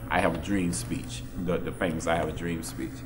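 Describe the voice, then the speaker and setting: Audible room echo and noticeable background noise accompany a man with an American accent talking at a moderate pace. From Texas. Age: 60s. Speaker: civil rights era witness. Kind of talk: panel discussion. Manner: halting, repeats words.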